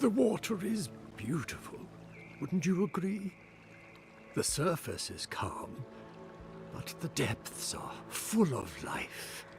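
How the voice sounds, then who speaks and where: Against clear music in the background, a man uses a put-on character voice pitched high, speaking at a very slow pace with long, frequent pauses. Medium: video game. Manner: calm, measured, cryptic.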